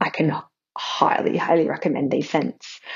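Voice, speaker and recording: A woman speaks quietly with an Australian accent. Her pace is moderate. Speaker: caller. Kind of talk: voicemail call-in.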